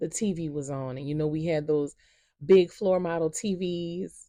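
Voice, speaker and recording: A woman in a New Orleans accent, very deep and low in pitch, with a dark, mellow tone and fairly even intonation. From New Orleans, Louisiana. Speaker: storyteller. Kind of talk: personal storytelling. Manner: slow, unhurried.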